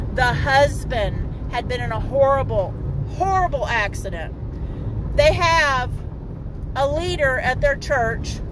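A woman at a very slow pace with long, frequent pauses, dry sound with no echo, and noticeable background noise. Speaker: street minister. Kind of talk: preaching vlog. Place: car. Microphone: phone near.

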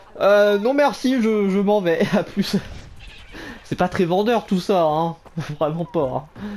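A high-pitched man's voice, very slow, with long, frequent pauses, ordinary pitch variation and very even loudness. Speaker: gaming YouTuber. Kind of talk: let's play commentary. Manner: animated.

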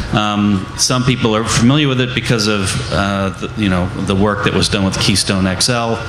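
Amid noticeable background noise and audible room echo, a man talks at a moderate pace and fairly low pitch, with fairly even intonation and hardly any pauses. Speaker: anti-pipeline activist. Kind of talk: panel discussion. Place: tent.

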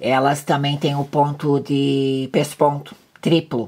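Very deep and low in pitch, a woman speaks at a very slow pace. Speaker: sewing instructor. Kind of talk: tutorial. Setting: home sewing workspace, filmed video.

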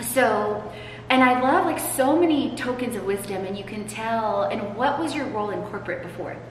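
With light background noise and audible room echo, a woman speaks in a fairly high pitch with lively intonation. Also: moderate pace. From Poland. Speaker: podcast host and transformation coach. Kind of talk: casual interview chat. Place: hall. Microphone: camera far.

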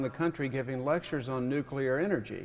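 Ordinary pitch variation comes at a fairly quick pace. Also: man. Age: 50s. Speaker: author and lecturer; lecturer. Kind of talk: lecture. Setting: stage with audience. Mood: humorous storytelling. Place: stage. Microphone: podium.

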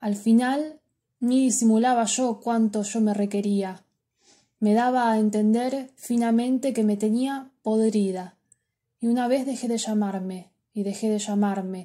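A woman with a fairly high pitch and a dark, mellow, playful tone, somewhat breathy, at a fairly slow pace with fairly even intonation, on a very clean recording with a silent background. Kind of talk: poem reading aloud. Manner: intimate, confessional, wistful with playful irony.

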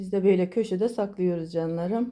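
A woman of medium pitch speaks in a dark, mellow tone on a very clean recording with a silent background. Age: 50s. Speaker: vlogger. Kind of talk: casual home tour vlog.

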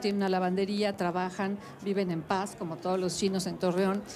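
Speech moves at a fairly quick pace over light background noise. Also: woman. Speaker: interviewee. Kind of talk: interview answer. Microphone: handheld.

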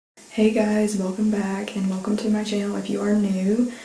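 A woman speaks at a moderate pace amid light background noise, with audible room echo. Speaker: lifestyle vlogger. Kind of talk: casual vlog talk to camera. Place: home room. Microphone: phone near.

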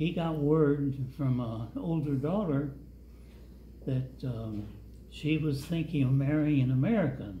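A somewhat breathy man at a fairly slow pace, with audible room echo and light background noise. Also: ordinary pitch variation. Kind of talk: storytelling. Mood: calm, reflective. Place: hall.

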